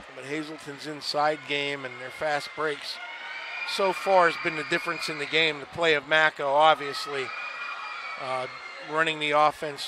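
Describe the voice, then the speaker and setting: Amid noticeable background noise, a man with an American accent speaks at a moderate pace with fairly even intonation and long, frequent pauses. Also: fairly high pitch for a man, big swings in loudness. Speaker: color commentator, coach. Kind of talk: live sports commentary, analysis. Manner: measured, analytical, conversational.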